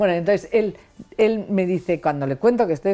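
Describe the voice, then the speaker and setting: The speaker is a woman with a dark, mellow tone. Her intonation is lively. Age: 50s. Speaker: author. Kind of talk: interview.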